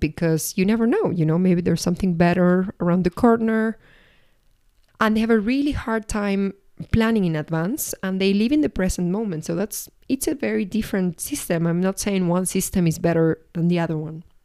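In a Spanish accent, a woman at medium pitch talks at a fairly quick pace with lively intonation and a dark, mellow tone. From Argentina. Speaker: podcast host and life coach. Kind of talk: solo reflective podcast monologue. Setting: at home.

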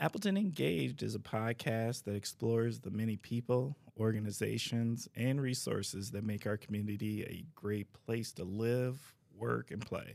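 An unremarkable speaking voice from a man, at a moderate pace with hardly any pauses and ordinary pitch variation, on a very clean recording with a silent background. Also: medium pitch for a man. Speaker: podcast host, city DEI coordinator. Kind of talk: interview podcast, casual conversation.

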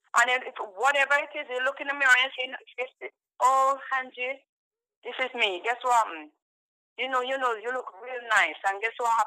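A woman with a high pitch and a bright, sharp tone speaks at a moderate pace, with ordinary pitch variation and big swings in loudness. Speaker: caller. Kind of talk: casual opinion chat.

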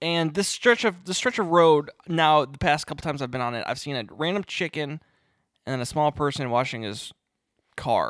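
Mumbling at a moderate pace, a man has a fairly high pitch and lively intonation, recorded very cleanly against a silent background. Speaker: podcast co-host. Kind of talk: casual chat.

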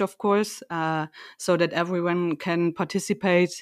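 Fairly slow speech with a German accent and fairly even intonation comes through a dry, close sound with no echo on a very clean recording with a silent background. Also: woman. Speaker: company podcast co-host. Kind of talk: casual chat.

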